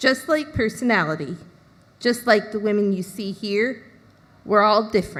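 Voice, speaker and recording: A woman speaks at a fairly slow pace in a fairly high, somewhat breathy voice with an animated tone. The recording is very clean, with a silent background. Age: 20s. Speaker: presenter. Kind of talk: prepared talk.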